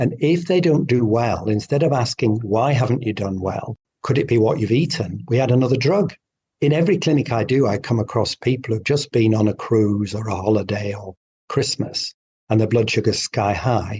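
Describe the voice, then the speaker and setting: In a British accent, a man talks at a moderate pace with a dark, mellow tone, a somewhat breathy quality and ordinary pitch variation. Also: medium pitch for a man. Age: 60s. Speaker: doctor. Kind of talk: interview. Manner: animated.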